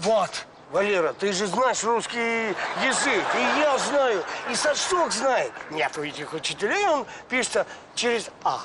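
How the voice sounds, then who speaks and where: A man talks at a very slow pace with long, frequent pauses. Loud background noise runs underneath. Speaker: comic character. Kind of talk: scripted sketch dialogue. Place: street.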